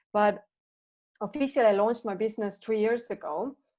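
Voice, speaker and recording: A woman speaks with a fairly high pitch, a dark, mellow tone and fairly even intonation over a quiet background. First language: not English. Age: 30s. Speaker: transformation coach. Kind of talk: podcast interview.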